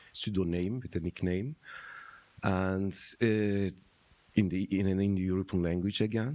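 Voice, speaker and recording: Over a silent background in a very clean recording, a man with a Turkish accent speaks at a fairly slow pace, his voice very deep and low with a dark, mellow tone. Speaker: philosopher and translator. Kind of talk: public conversation. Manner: halting.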